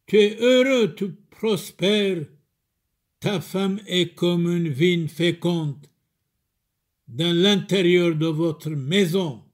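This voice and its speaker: A man's high, solemn, warm voice at a very slow pace, with long, frequent pauses and ordinary pitch variation, on a very clean recording with a silent background. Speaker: Syriac Orthodox chorbishop preaching to the faithful. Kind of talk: sermon / homily addressed to the faithful. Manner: solemn, pastoral, warm, delivered as a series of short declarative sayings and blessings.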